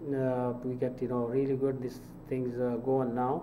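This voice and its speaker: A man's fairly slow speech with audible room echo. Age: 70s. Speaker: mosque fundraising director. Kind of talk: interview. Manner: halting, many fillers.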